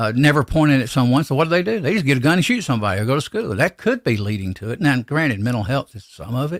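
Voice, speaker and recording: A man talks very fast with lively intonation in a Southern US accent. The recording is very clean, with a silent background. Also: dry, close sound with no echo. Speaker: gun reloading podcaster. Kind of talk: casual live podcast chat. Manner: halting, repeats words.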